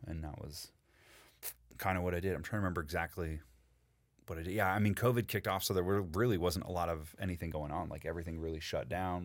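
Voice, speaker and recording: In a very clean recording with a silent background, a man speaks with an American accent. His pitch is very deep and low, and his pace is very fast. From California and Boston. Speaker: voice actor and director, ex-military. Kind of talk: casual chat. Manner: animated.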